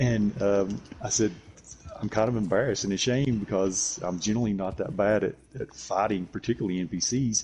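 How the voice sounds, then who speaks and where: A man with a Southern US accent and a fairly low pitch talks at a fairly quick pace amid noticeable background noise. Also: ordinary pitch variation. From US South, Tennessee. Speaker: gamer. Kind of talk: casual chat. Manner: halting.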